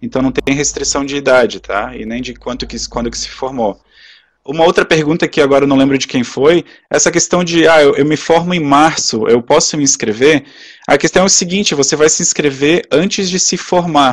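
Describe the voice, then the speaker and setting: His pitch fairly high, a man speaks with ordinary variation in it. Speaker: webinar presenter. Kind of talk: webinar Q&A. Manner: fast.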